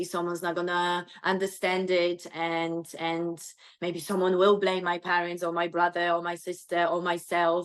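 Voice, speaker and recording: A woman's fairly low voice, monotone and flat, at a moderate pace. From Poland. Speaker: transformation coach. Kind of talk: interview conversation.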